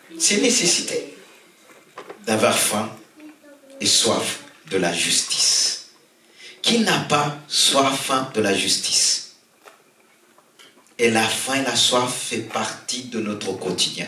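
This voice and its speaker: A man with a medium pitch and ordinary pitch variation speaks at a very slow pace, with long, frequent pauses and big swings in loudness. Audible room echo and noticeable background noise surround him. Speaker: pastor. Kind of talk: sermon. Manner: soft-spoken.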